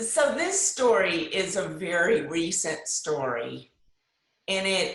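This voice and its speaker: Very slow speech from a woman, with echo audible in the room. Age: 60s. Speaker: discussion group member sharing personal story. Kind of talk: personal testimony.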